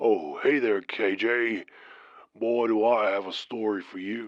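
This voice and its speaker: Putting on a character voice with a strong Southern US accent, a man sounds raspy and monotone, his medium pitch flat and his pace fairly slow, against a quiet background. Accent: deep southern. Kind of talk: folksy, casual.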